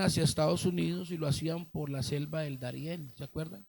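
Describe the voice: Vocal fry colors a man's voice, which has ordinary pitch variation.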